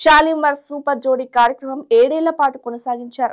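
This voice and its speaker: A woman talks at a high pitch with ordinary pitch variation. The recording is very clean with a silent background. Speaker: Telugu news presenter. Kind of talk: news bulletin narration.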